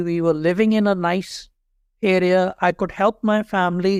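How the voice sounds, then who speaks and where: A man with a Pakistani accent speaks at a high pitch with fairly even intonation, recorded very cleanly against a silent background in a dry, close sound with no echo. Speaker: HR executive. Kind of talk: interview conversation.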